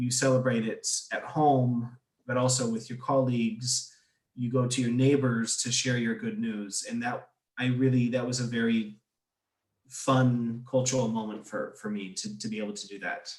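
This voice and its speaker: A man with an American accent speaks at a moderate pace in a medium pitch. His voice is somewhat breathy, and his intonation stays flat and monotone. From United States. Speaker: expat interviewee. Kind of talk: interview. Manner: halting, repeats words.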